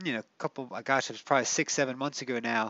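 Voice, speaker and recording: The sound is dry, with no echo. A man is speaking. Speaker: space image channel host. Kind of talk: commentary. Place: home room.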